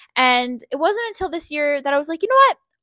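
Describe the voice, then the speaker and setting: Dry, close sound with no echo captures a woman speaking in a raised, projected voice at a high pitch, with a bright, sharp tone and very wide pitch swings. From Ontario, Canada. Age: 20s. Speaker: podcast host. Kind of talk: casual monologue.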